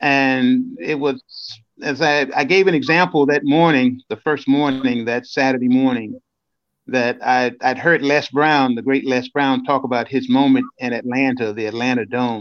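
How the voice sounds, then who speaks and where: An unremarkable speaking voice with an American accent moves at a moderate pace with fairly even intonation against a quiet background. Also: man, medium pitch for a man. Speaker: motivational speaker. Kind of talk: interview. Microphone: bad connection from storm.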